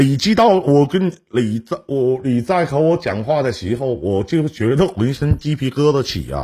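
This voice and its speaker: A man speaks at a fairly slow pace with hardly any pauses, his voice fairly high, somewhat breathy, dark and mellow. His intonation is lively. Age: 40s. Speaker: call-in relationship advice host. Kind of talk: call-in advice chat. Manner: animated.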